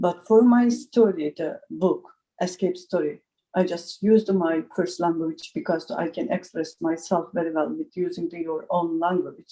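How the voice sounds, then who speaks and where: The tone is dark and mellow, with ordinary pitch variation, in a Turkish accent. Delivery comes at a moderate pace. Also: woman, fairly low pitch for a woman. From Turkey. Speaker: journalist and writer. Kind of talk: panel discussion. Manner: halting non-native English.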